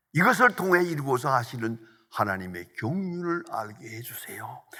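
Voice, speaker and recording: Speech unfolds at a fairly slow pace. The voice belongs to a man. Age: 80s+. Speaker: pastor. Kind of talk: sermon.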